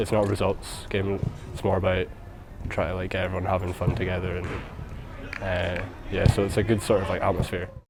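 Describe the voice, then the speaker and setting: His intonation is monotone and flat, and this man's pitch is fairly low. Noticeable background noise runs behind him. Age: 20s. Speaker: amateur footballer. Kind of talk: interview.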